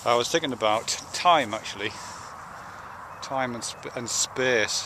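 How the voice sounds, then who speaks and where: With a British accent, a man speaks at medium pitch and a fairly slow pace, with ordinary pitch variation and noticeable background noise. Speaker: video blogger. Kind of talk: casual spoken video essay. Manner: slurring; halting, many fillers and restarts.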